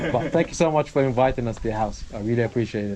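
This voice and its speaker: A man is speaking with ordinary pitch variation. Noticeable background noise runs underneath. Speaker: travel vlogger. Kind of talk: casual travel vlog.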